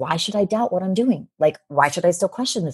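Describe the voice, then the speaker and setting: A woman with a fairly low pitch and lively intonation sounds somewhat breathy against a quiet background. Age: 50s. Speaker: business coach and author. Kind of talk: interview.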